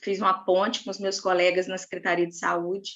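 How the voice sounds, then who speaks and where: The speaker is a woman. Her pitch is medium. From inland Rio de Janeiro state, Brazil. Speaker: school psychologist. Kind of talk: panel discussion.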